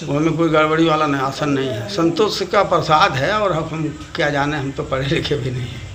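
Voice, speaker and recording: Speaking at a moderate pace with ordinary pitch variation, the voice runs on with hardly any pauses over noticeable background noise. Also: man, fairly high pitch for a man. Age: 80s+. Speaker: yoga practitioner, ascetic. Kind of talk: interview answer.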